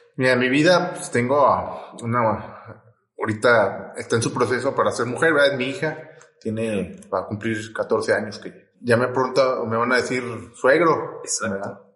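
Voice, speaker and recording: Audible room echo surrounds a man speaking at a moderate pace, with medium pitch and ordinary pitch variation. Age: 30s. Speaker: psychologist. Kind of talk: casual chat.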